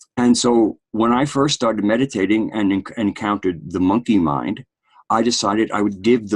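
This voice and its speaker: With a plain, everyday voice, a man speaks at a moderate pace in a fairly low pitch. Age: 60s. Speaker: podcast host. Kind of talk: casual discussion.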